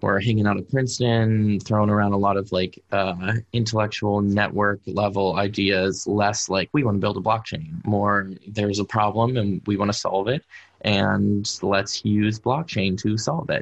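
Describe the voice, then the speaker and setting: Against a quiet background, a man with an American accent talks in a normal speaking voice at a moderate pace, fairly low in pitch, with fairly even intonation, very even loudness and hardly any pauses. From US, Pittsburgh. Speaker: developer evangelist. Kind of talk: interview.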